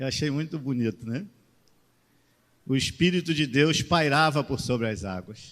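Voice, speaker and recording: A man talks with a Rio de Janeiro accent on a very clean recording with a silent background. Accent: carioca. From Rio de Janeiro, Brazil. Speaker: pastor. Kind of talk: sermon. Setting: church.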